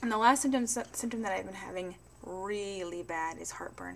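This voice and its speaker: A woman's voice carries audible room echo, and noticeable background noise is present too. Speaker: pregnancy vlogger. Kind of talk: casual vlog monologue. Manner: fast.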